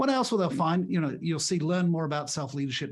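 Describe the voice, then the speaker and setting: Audible room echo surrounds a man with a fairly high pitch. He talks at a very fast pace. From Britain. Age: 60s. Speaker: leadership author and speaker. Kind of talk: podcast interview.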